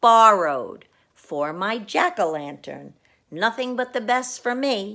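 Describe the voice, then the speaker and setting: A female-sounding voice puts on a character voice at a fairly high pitch for a woman, recorded very cleanly against a silent background. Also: fairly slow pace. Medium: read story. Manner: absent-minded.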